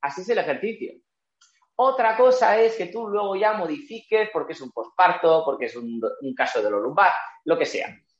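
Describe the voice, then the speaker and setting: Big swings in loudness from a man at a moderate pace. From Spain, Barcelona (Catalonia). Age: 30s. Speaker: Pilates instructor and physical educator. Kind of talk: interview.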